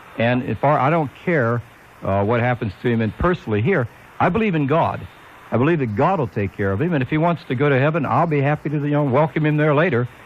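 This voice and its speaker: A man speaks fast-ish at a fairly high pitch, his intonation lively. Noticeable background noise runs underneath. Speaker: radio announcer / call-in show host. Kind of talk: talk radio audition, opinionated call-in host. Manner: conversational, opinionated, joking.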